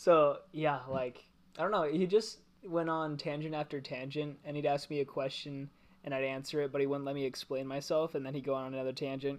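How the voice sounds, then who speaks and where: In an ordinary speaking voice, a man talks at a fairly quick pace with a fairly high pitch and fairly even intonation. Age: 20s. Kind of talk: casual chat.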